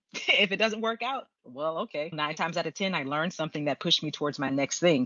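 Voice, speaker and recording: A woman with a very deep, low pitch and an American accent speaks at a fairly quick pace. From Texas, Houston. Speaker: screenwriter and script consultant. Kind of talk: interview conversation. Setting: podcast.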